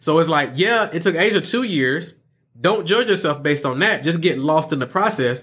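On a very clean recording with a silent background, a man speaks with an Atlanta accent at a moderate pace. His pitch is fairly high and his tone animated. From Atlanta, Georgia. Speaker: online marketing entrepreneur and coach. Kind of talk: podcast interview. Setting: studio.

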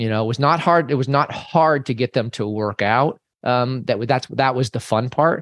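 Against a quiet background, a man with a plain, everyday voice speaks at a medium pitch and moderate pace with lively intonation. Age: 50s. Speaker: fitness coach. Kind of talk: interview.

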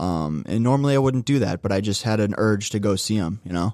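Against a quiet background, a man with an American accent and a fairly low pitch talks at a very fast pace. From US Midwest, northeast Ohio (Cleveland area). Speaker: podcast editor, former boxing coach. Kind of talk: casual interview.

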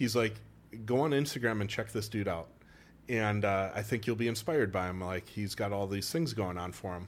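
A man's fairly low-pitched voice with a Wisconsin accent, ordinary pitch variation and a fairly quick pace. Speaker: chiropractor. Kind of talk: casual chat. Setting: studio. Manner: animated.

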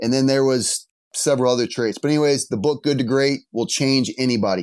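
Against a quiet background, a man talks fairly quickly in an ordinary speaking voice of medium pitch, his intonation fairly even. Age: 30s. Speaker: gym owner. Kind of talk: casual interview.

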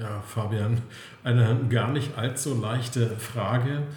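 The intonation stays fairly even, with noticeable background noise and audible room echo. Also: man. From Saxony-Anhalt, Altmark (eastern Germany). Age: 50s. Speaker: real estate investment consultant. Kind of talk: interview. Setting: office.

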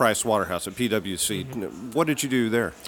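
With music playing in the background, a man talks at a moderate pace and a medium pitch, his pitch varying in an ordinary way. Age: 70s. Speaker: podcast host. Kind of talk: casual interview; scripted narration. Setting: pub.

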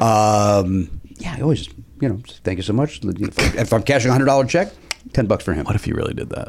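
This man talks at a fairly quick pace with a slight Chicago accent and medium pitch. His intonation is lively, and there is noticeable background noise. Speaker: podcast host. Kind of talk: casual chat.

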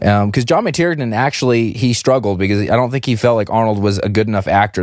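A man with a normal speaking voice at a fairly quick pace, ordinary pitch variation, and a very clean recording with a silent background. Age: 30s. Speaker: podcast host. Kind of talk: casual chat.

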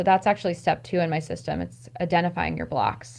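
A woman's fairly low-pitched voice with vocal fry and an American accent. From US, rural Maryland. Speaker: stress management coach. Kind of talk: casual interview.

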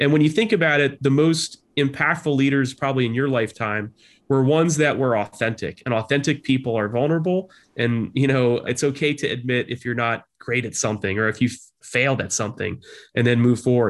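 An ordinary speaking voice belongs to a man talking at a medium pitch and a fairly quick pace, with ordinary pitch variation. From New Jersey Shore, US. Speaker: leadership professor, former army officer. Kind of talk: interview conversation.

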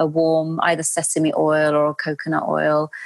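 In a London accent, a woman speaks at a moderate pace in a very clean recording with a silent background. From London, England. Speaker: Ayurveda practitioner. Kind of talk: interview.

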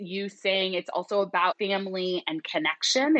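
A woman with an ordinary speaking voice talks at a moderate pace. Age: 30s. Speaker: psychologist and therapist. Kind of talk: casual interview chat.

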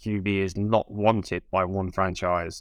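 A man with a British accent speaks at a fairly slow pace in a fairly low, monotone, flat voice against a quiet background. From UK. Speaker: podcast co-host. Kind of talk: casual chat.

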